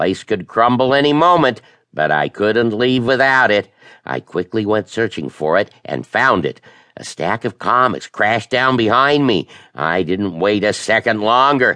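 At a moderate pace over a quiet background, a man speaks with a bright, sharp tone, medium pitch and lively intonation. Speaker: audiobook narrator. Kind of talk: dramatic first-person audiobook narration of a children's horror story. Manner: tense, breathless storytelling building suspense through a chase; voices characters, shouting and snarling for the monster.

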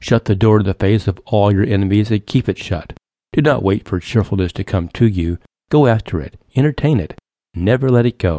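A man with a dark, mellow tone and fairly low pitch speaks at a fairly quick pace with ordinary pitch variation, the sound dry and close with no echo against a quiet background. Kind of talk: audiobook narration. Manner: measured, earnest, encouraging; rhythmic, repetitive cadence.

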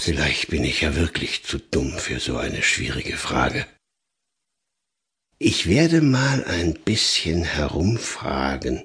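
The speaker uses a put-on character voice. The delivery is somewhat unhurried. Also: man. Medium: read story. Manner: friendly, slow, pondering.

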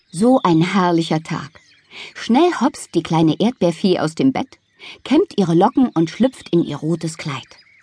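With an animated, playful tone and lively intonation, a woman speaks at a fairly slow pace and fairly low pitch, somewhat breathy, in a dry, close sound with no echo. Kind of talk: audiobook children's bedtime story reading, narrated fairy tale. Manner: animated, playful, lively storytelling tone with character voices; gentle, warm, cheerful pacing suited to small children.

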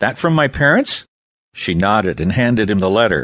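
A man's voice shows vocal fry against a quiet background. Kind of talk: audiobook narration of a children's novel. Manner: smooth, measured storytelling pace with shifting character voices, expressive in dialogue.

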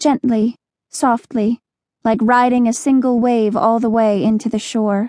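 A normal speaking voice moves at a moderate pace, with a dry, close sound and no echo. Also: woman. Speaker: audiobook narrator. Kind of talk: audiobook narration, dramatic first-person reading of a teen dystopian novel. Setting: studio.

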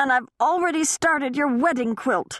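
A female-sounding voice growls in a put-on character voice, pitched high for a woman. The pace is moderate and the background quiet. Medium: read story. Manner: quick, eager.

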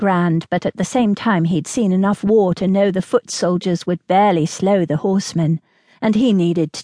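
The reading is plain and aloud, its intonation fairly even.

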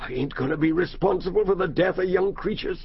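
Using a put-on character voice, a man talks at a high pitch. His pace is very fast. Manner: rueful, anxious, repeats phrases.

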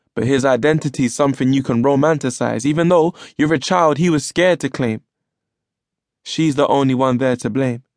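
A man with a London accent speaks at a fairly quick pace in an animated tone and a fairly high pitch. The sound is dry and close with no echo, over a quiet background. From London, England. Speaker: poet and audiobook narrator. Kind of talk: spoken word poetry performance. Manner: rhythmic, rhyme-driven delivery; animated, emotive, storytelling tone.

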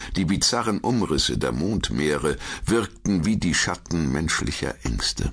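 Using vocal fry and lively intonation, a man talks at a fairly slow pace in a very deep, low pitch. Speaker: audiobook narrator. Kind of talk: dramatic audiobook narration of a dark fantasy story, read aloud. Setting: studio. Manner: hushed, suspenseful, slow and atmospheric pacing.

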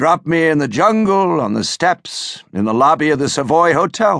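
Fairly high in pitch with very wide pitch swings, a man talks at a moderate pace in a dry, close sound with no echo. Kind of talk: dramatic audiobook narration, first-person thriller reading. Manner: intense, hushed, brooding; measured, suspenseful pacing.

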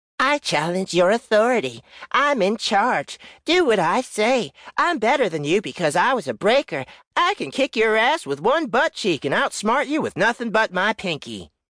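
A put-on character voice, fairly high in pitch with very wide pitch swings, at a moderate pace over a quiet background. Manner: mocking, boastful.

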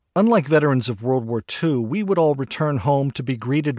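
Delivered at a moderate pace against a quiet background, the speech has a dramatic tone and lively intonation, with a dry, close sound and no echo. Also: man. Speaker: audiobook narrator. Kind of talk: dramatic audiobook narration of a first-person war memoir. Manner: grave, measured, somber storytelling pace; quietly dramatic, with reflective, emotional weight.

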